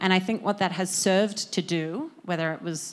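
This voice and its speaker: A woman with an Australian accent at a moderate pace and fairly even intonation, in a very clean recording with a silent background. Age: 20s. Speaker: media startup co-founder. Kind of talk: conference talk. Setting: stage with audience.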